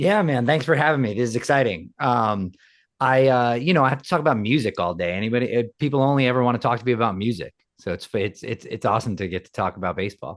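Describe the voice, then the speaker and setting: The speaker has an American accent and lively intonation. The pace is very fast. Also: man, medium pitch for a man. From Queens, New York City. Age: 40s. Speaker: rock musician. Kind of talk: casual interview. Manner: halting, many repeated words.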